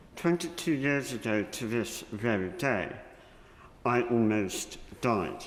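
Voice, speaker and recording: A man speaks at a very slow pace with lively intonation and long, frequent pauses, with audible room echo. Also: medium pitch for a man. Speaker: member of the House of Lords. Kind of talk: parliamentary speech. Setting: parliamentary chamber. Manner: slower than usual; formal.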